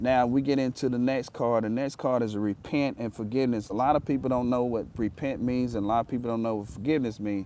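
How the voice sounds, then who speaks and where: A man's very fast, medium-pitched voice with a dark, mellow tone and hardly any pauses. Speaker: spiritual tarot reader. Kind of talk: live-stream spiritual reading. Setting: livestream. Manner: animated.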